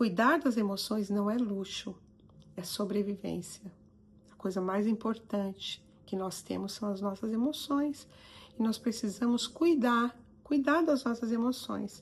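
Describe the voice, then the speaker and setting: At a fairly slow pace, a woman talks in a somewhat breathy voice of fairly high pitch with ordinary pitch variation. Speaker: psychoanalyst and coach. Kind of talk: motivational talk to camera.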